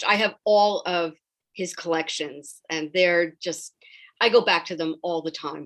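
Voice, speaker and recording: In an American accent, a woman talks in an ordinary speaking voice at a fairly low pitch and moderate pace, with a quiet background. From New York. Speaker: librarian. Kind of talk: interview.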